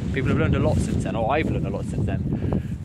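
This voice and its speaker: Loud background noise surrounds a man with a British accent, whose voice has a dry sound with no echo. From UK. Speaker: beekeeping YouTuber. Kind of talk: casual vlog talk to camera. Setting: outdoors at the hives. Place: open country. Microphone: phone near.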